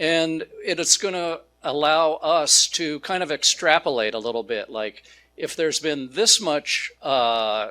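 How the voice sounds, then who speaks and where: A man with a Pacific Northwest accent, fairly high-pitched and bright, sharp in tone, with lively intonation and a fairly slow pace, in a very clean recording with a silent background. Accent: American, Pacific Northwest. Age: 60s. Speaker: food company founder, speaker. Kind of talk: public talk. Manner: animated, casual with many fillers.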